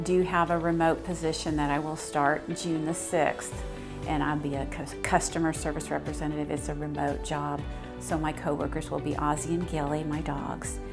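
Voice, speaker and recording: Clear music plays in the background as the speaker keeps a moderate pace. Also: woman. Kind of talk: interview answer. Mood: warm, smiling, reflective. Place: office.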